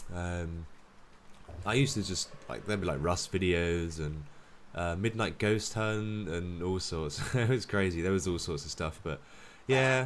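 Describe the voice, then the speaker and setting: With a British accent, a man talks at a moderate pace. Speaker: gaming streamer. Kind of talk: live stream commentary. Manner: casual, filler-heavy.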